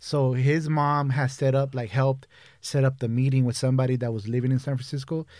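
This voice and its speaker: A man speaks at a fairly quick pace in a medium pitch, his intonation monotone and flat. The recording is very clean, with a silent background. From Brazil (São Paulo) then San Fernando Valley, Los Angeles from age 11. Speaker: edibles baker and business owner. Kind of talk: casual chat. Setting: studio.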